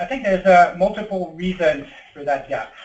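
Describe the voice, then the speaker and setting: The man talks in a French accent at a moderate pace. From France. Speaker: tech company executive. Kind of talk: webinar presentation. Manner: hesitant, many fillers.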